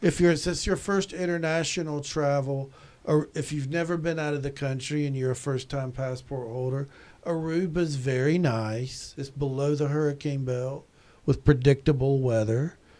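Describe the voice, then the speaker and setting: A man's fairly high voice with a dark, mellow tone and a Southern US accent, at a moderate pace with fairly even intonation, in a very clean recording with a silent background. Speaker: tourism professor. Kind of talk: podcast interview. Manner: halting, frequent repetitions.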